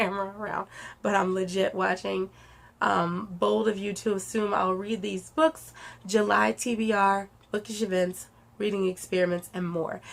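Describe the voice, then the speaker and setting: Her intonation fairly even, a woman talks at a moderate pace in a medium pitch. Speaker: author and booktuber. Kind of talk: casual vlog monologue. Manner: halting, rambling.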